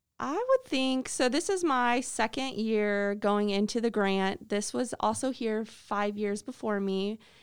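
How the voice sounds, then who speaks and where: A woman speaks fairly slowly with an American accent, her pitch fairly high. Her pitch variation is ordinary, and the recording is very clean with a silent background. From Illinois, US Midwest. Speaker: after-school program coordinator. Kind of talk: interview.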